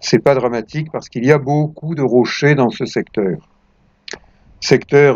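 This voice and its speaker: Fairly high pitch from a male speaker, its variation ordinary. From southern France, Provence (La Seyne-sur-Mer). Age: 70s. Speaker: retired lifeguard, video blogger. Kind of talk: documentary narration.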